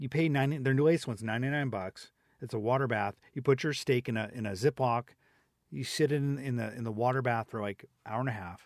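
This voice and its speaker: A man mumbles at a fairly quick pace and medium pitch with ordinary pitch variation, the sound dry and close with no echo on a very clean recording with a silent background. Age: 40s. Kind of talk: casual chat. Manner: fast talker, mumbles.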